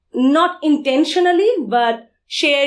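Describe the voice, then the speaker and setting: This woman talks with a Bengali accent and ordinary pitch variation. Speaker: security conference speaker. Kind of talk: conference talk.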